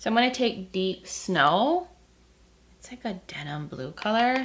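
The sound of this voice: A woman with a croaky, creaky voice and a fairly bright tone speaks at a fairly slow pace with lively intonation. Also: medium pitch for a woman.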